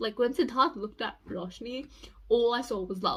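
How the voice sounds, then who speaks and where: Animated and bright with a sharp tone, a woman speaks at a high pitch with ordinary pitch variation. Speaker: YouTuber reviewing a TV show. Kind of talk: casual vlog review.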